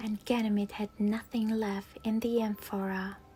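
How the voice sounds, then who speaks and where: The voice keeps a fairly even intonation with music playing in the background. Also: woman. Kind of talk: sleep story.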